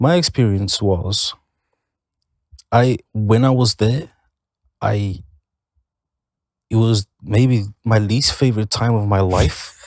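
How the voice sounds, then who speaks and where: A man with a non-native accent speaks at a very slow pace with long, frequent pauses, a medium pitch, ordinary pitch variation and very even loudness. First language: not English. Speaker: band member podcast host. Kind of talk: casual chat.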